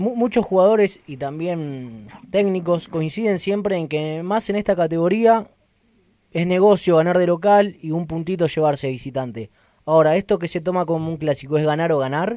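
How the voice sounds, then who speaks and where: A man's high voice with a dark, mellow tone, moderate pace and ordinary pitch variation. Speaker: sports radio host. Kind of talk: sports radio talk show.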